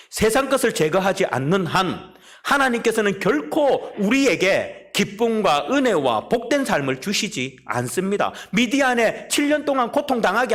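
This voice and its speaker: At a fairly slow pace, a high-pitched man speaks with lively intonation. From South Korea, Busan. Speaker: pastor. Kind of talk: sermon. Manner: emphatic.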